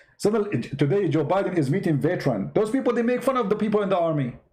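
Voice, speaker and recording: A man speaks at a fairly quick pace with an Arabic accent. His intonation is lively. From Middle East. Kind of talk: online talk show rant. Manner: animated.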